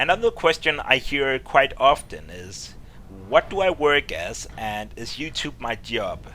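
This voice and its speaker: A man speaks with a Danish accent at a fairly slow pace. His loudness swings widely. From Denmark. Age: 20s. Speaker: gaming YouTuber. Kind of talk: Q&A video talk to viewers. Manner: casual, with hesitations.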